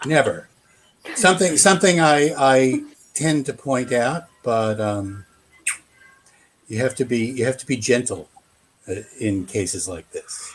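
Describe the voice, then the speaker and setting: A medium-pitched man with an American accent and lively intonation, at a fairly slow pace with long, frequent pauses. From United States. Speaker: game support staff. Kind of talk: casual panel discussion. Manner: hesitant, many fillers.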